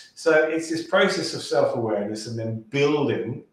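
With a British accent, the speaker sounds somewhat breathy at a fairly slow pace, and audible room echo is present. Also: man. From UK. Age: 40s. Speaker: sales and pitching coach; podcast guest, sales coach. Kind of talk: podcast interview. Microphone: video call.

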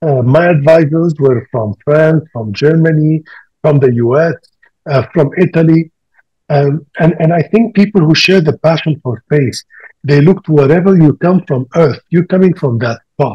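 The voice has a dark, mellow tone and ordinary pitch variation. It moves at a fairly slow pace over a quiet background. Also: man, fairly high pitch for a man. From Libya and Tunisia. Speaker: planetary scientist; panelist. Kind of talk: panel discussion. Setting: video call. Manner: halting. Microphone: video call.

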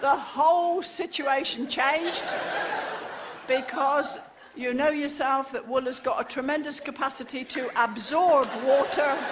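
A woman speaks at a fairly slow pace over noticeable background noise. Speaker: comic storyteller. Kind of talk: comic monologue. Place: stage.

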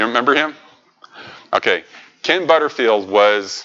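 Speaking at a moderate pace, a man varies his pitch in an ordinary way over a quiet background. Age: 60s. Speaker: robotics educator presenting to programming group; presenter. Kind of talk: technical presentation. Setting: meeting room with microphone. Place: meeting room.

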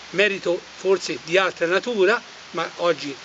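A man at a moderate pace, high in pitch for a man, over light background noise. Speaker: political commentator. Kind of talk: commentary. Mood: scornful, critical. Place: forest.

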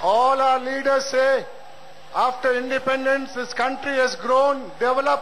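Noticeable noise sits behind the voice. Its intonation stays flat and monotone. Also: man. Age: 70s. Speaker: retired protest speaker. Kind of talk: rally speech.

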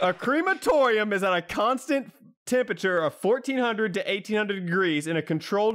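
Over a silent background in a very clean recording, a man talks at a moderate pace with lively intonation. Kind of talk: casual chat.

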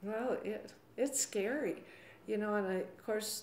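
With an American accent, a woman talks at a very slow pace. Audible room echo and light background noise surround her voice. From US Southwest, Arizona. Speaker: retired schoolteacher. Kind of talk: interview conversation. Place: office.

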